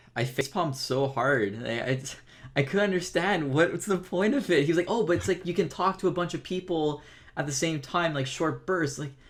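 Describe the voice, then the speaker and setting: A man with a fairly high pitch speaks in a normal speaking voice, with ordinary pitch variation. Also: fairly quick pace. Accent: American. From Florida, US. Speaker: podcast host, gamer YouTuber. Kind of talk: casual chat.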